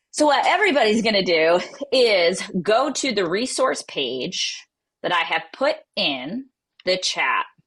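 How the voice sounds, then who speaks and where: With an American accent, a woman talks at a fairly high pitch, with vocal fry and very wide pitch swings. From New England, Boston. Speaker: real estate tech trainer. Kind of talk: online workshop tutorial. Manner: animated.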